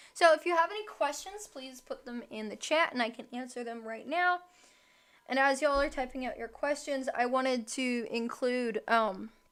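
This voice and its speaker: The voice moves at a moderate pace with lively intonation and big swings in loudness. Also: woman, high pitch for a woman. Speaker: true crime livestreamer. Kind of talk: live stream commentary. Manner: casual, some stumbling.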